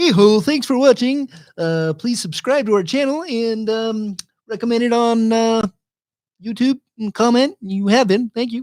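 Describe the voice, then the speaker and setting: In a strained, put-on character voice, the speaker talks at a moderate pace with a fairly high pitch. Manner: cheery muppet-style greeting.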